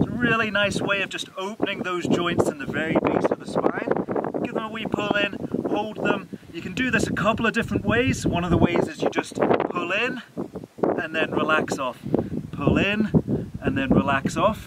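Loud background noise sits behind a man speaking at a moderate pace with ordinary pitch variation. The sound is dry, with no echo. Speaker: presenter. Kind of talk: tutorial. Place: open country.

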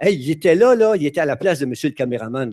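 Lively intonation marks a man's speech against a quiet background. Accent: Quebec. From Quebec. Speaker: retired teacher, conference speaker; teacher giving a conference talk. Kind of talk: conference talk. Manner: halting, many hesitations. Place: stage. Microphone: headset.

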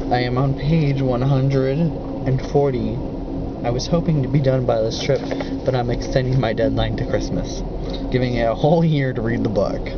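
Loud background noise competes with a man speaking at a moderate pace. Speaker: travel vlogger. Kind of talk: casual vlog chat. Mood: relaxed, joking. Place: train. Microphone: phone near.

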